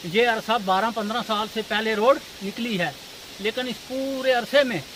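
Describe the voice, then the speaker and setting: An extremely high-pitched man's voice with ordinary pitch variation amid noticeable background noise. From Poonch, Jammu and Kashmir. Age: 60s. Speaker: villager. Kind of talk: street interview. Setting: outdoors.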